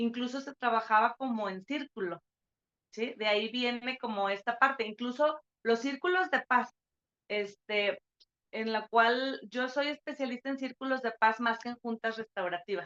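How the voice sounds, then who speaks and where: With a bright, sharp tone and a high pitch, this woman talks at a moderate pace with ordinary pitch variation in a dry, close sound with no echo. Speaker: university lecturer. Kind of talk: online lecture.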